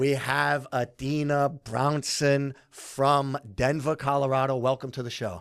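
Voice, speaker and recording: With hardly any pauses and a fairly slow pace, a man speaks in an energetic, animated tone at a fairly high pitch. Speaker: podcast co-host. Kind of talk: casual podcast chat.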